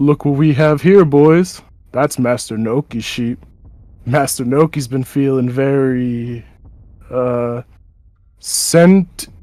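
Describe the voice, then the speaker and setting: Using a put-on character voice, a man at medium pitch talks at a fairly slow pace with long, frequent pauses. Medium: actual play. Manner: blunt, threatening.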